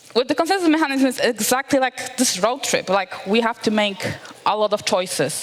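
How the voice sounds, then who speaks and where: A woman speaks with a Polish accent and lively intonation. Noticeable background noise runs behind her. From Poland. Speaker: developer relations engineer. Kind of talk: conference talk. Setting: stage with audience.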